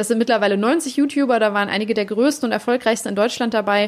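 Fairly even in intonation and fairly high in pitch, a woman has an unremarkable speaking voice. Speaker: podcast host. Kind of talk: casual interview.

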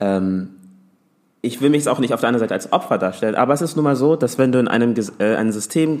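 Lively intonation in a medium-pitched male voice. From Hamburg, Germany. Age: 20s. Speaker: teacher and social media creator. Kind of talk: casual chat.

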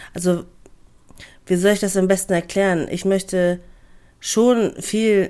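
A woman speaks in a dark, mellow tone at a fairly low pitch. The recording is very clean, with a silent background. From Hamburg, northern Germany. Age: 20s. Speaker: podcaster, office clerk. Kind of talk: casual monologue.

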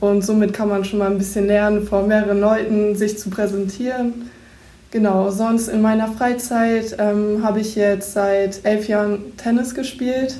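In a room with audible echo, a woman with a dark, mellow tone and fairly high pitch speaks at a fairly slow pace in a monotone, flat way. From East Frisia, northern Germany. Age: 18. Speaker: bank trainee. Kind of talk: self-introduction and interview.

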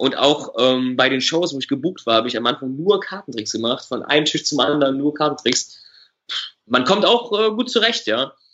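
In a normal speaking voice, a man talks at a moderate pace, his fairly high pitch carrying lively intonation. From Germany, Düsseldorf. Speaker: magician. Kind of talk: casual interview.

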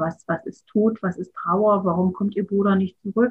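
At a moderate pace, a woman with a medium pitch and a somewhat breathy voice speaks with monotone, flat intonation. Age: 50s. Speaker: artist and childcare educator. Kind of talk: interview.

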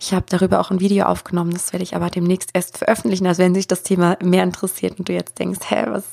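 The woman's words come very fast. There is noticeable noise in the background. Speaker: spiritual coach and podcast host. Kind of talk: solo podcast monologue. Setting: home office with microphone. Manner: unscripted, free talk.

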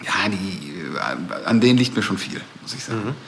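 A medium-pitched man at a fairly slow pace with ordinary pitch variation, amid audible room echo and noticeable background noise. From Ruhr area, Germany (Recklinghausen). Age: 40s. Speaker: music record label manager. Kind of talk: casual interview. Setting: recorded in a bar.

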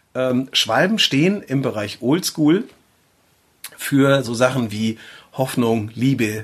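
This man talks at a very slow pace. He leaves long, frequent pauses. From northern Germany, Schleswig-Holstein near Flensburg. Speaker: tattoo artist and podcast host. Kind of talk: casual chat.

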